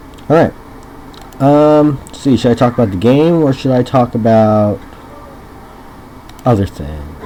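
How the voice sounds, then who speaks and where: A man's medium-pitched voice with lively intonation, fairly slow delivery, long and frequent pauses, and noticeable background noise. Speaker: gaming video creator. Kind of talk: let's play commentary. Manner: loud; hesitant, many ums. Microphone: bad microphone, separate voice recorder, may be quiet.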